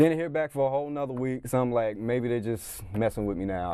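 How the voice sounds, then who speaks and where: A man speaks at a fairly quick pace with ordinary pitch variation. He has an ordinary speaking voice. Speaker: comedian and impressionist. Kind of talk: interview answer. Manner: upbeat.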